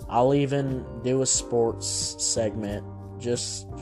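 Music plays in the background. Over it, a man talks with very wide swings in pitch. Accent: Southern US. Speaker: podcast host doing a news and entertainment commentary show. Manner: casual, joking, rambling.

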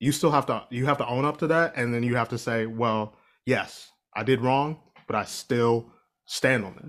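A man with an American accent speaks in an unremarkable speaking voice at a medium pitch and moderate pace. His intonation is fairly even, and the recording is very clean with a silent background. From Ohio. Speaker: musician and performer. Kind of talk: casual chat.

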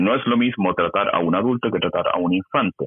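Here a man has a normal speaking voice, pitched fairly low. He talks at a fairly quick pace with fairly even intonation. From Chile. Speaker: YouTuber and gender-ideology educator. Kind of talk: interview.

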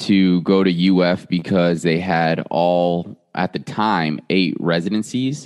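A man with an American accent and a very deep, low pitch, at a very slow pace against a quiet background. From South Florida, US. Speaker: orthodontics resident and podcast host. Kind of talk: casual interview. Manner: halting, many fillers.

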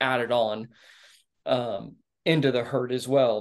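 A man speaks with a Texan accent. His intonation stays flat and monotone. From Texas (Dallas suburbs). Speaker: rancher and Marine veteran. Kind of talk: casual interview chat. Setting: video call.

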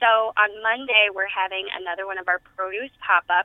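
The woman's voice sits at a medium pitch with fairly even intonation. She talks at a moderate pace. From Tennessee, US South. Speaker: community health specialist. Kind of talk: radio interview. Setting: radio studio.

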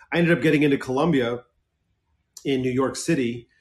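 A man with an American accent, medium pitch and ordinary pitch variation. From Southern California. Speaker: film director, writer and producer. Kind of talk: casual interview chat.

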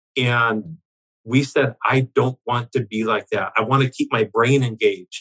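A man talks at a fairly slow pace, his pitch medium and his tone bright and sharp. The sound is dry and close, with no echo. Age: 60s. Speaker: business owner. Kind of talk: interview.

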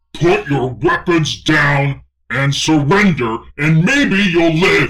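A man shouts and bellows in a raspy, fairly high-pitched put-on character voice at a very slow pace. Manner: roaring, screaming, intimidating.

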